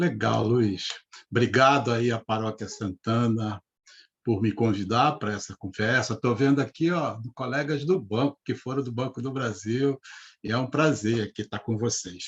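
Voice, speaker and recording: A man speaks at a fairly slow pace and medium pitch. His voice is somewhat breathy, with ordinary pitch variation. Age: 60s. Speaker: retired bank manager and speaker on money. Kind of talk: live interview talk. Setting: live video stream.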